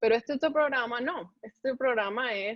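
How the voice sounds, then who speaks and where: A woman speaks in an animated tone. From Colombia. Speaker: medical resident (pathology). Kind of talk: interview.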